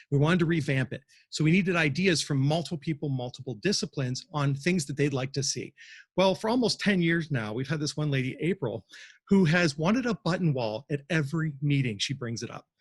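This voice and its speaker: At a fairly quick pace, a man with a fairly high pitch and somewhat breathy delivery uses lively intonation, in a dry, close sound with no echo over a quiet background. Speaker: museum exhibit designer giving a talk. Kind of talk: presentation talk. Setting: livestream from a cafe. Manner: fast.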